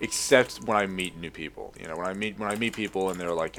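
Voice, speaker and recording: Talking at a very fast pace, a man with an American accent and a very deep, low pitch is heard over noticeable background noise. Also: ordinary pitch variation. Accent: American-sounding. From lives in Australia. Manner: casual, profane, rambling.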